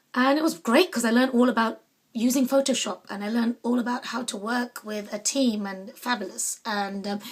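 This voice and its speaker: This woman speaks with a London accent. Her voice is high-pitched and her pace fairly quick. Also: ordinary pitch variation. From London, England. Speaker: artist and small business owner. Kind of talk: casual personal monologue. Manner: hesitant with frequent fillers.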